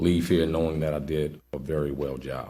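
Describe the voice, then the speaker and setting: Very deep and low, a man's dark, mellow voice runs at a fairly quick pace with vocal fry and flat, monotone intonation. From New Orleans, Louisiana. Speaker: police sergeant, job candidate. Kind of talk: job interview before committee. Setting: public committee meeting, broadcast. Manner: halting, with fillers and repetitions.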